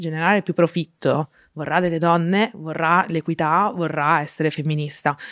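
Recorded very clean against a silent background, with a dry, close sound and no echo, a woman with an unremarkable speaking voice and fairly low pitch talks at a moderate pace. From Friuli, north-east Italy. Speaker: advertising strategist, activist. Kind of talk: casual interview chat.

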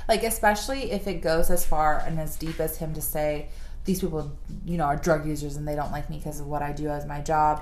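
Against noticeable background noise, a woman with a very deep, low pitch speaks at a fairly quick pace with fairly even intonation. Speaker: podcast host. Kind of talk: casual chat.

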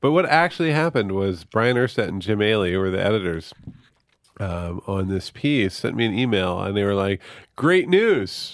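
A man has a normal speaking voice at a fairly low pitch, with lively intonation. He talks at a moderate pace in a very clean recording with a silent background. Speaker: author. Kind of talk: casual chat. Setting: studio.

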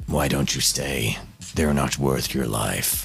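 In a put-on character voice, a man speaks at a fairly slow pace with a raspy, very deep, low pitch. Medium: actual play. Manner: calm, precise, emotionally detached.

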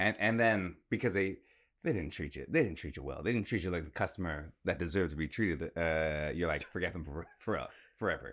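A man with a Canadian accent speaks at a fairly quick pace in a very deep, low pitch with ordinary pitch variation. The recording is very clean, with a silent background. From Toronto, Canada. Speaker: podcast co-host. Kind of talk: casual chat.

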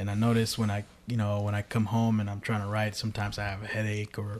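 A man with an American accent talks at a fairly quick pace. Noticeable background noise is present. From Bay Area, Northern California. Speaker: podcast host. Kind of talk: casual interview. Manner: halting.

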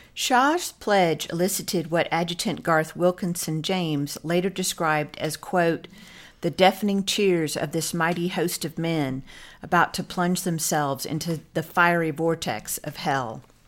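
A woman uses a normal speaking voice with a fairly low pitch and ordinary pitch variation. She talks at a fairly slow pace on a very clean recording with a silent background. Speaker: podcast co-host. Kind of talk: history documentary narration. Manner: formal, measured, clear storytelling tone.

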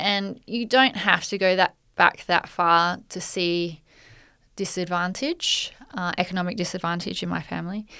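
A woman's bright, sharp voice at medium pitch, with ordinary pitch variation at a moderate pace, on a very clean recording with a silent background. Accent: Australian. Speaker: podcast co-host, magazine editor. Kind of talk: casual chat.

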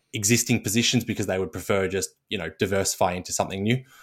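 In an Australian accent, a man speaks at a fairly low pitch in a monotone, flat way on a very clean recording with a silent background. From Australia, Melbourne. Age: 20s. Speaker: portfolio manager. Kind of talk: casual chat. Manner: halting, frequent repetitions.

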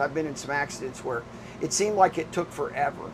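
With ordinary pitch variation and a fairly high pitch, a man talks at a fairly quick pace against noticeable background noise. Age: 60s. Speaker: restaurant owner and amateur racing driver. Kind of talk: casual interview. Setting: in an RV at a race track.

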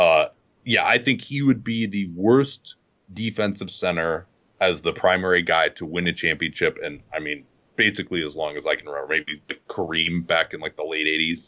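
Very deep and low, this man's voice moves at a moderate pace with ordinary pitch variation. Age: 40s. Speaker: basketball podcaster. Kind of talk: casual chat.

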